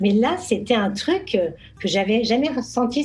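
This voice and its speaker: Music plays in the background as a woman speaks. Her pitch is fairly high and her intonation lively. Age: 60s. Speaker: model and social media influencer. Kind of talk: casual interview chat. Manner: hesitant, many fillers and repetitions.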